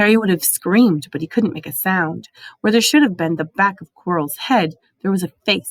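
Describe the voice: Quiet background behind plain reading aloud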